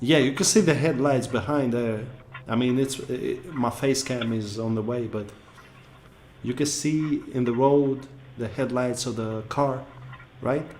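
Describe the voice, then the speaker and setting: A man's medium-pitched voice with a non-native accent, fairly slow and broken by long, frequent pauses, amid audible room echo and noticeable background noise. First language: not English. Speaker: YouTube reactor. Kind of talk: casual reaction commentary. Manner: animated.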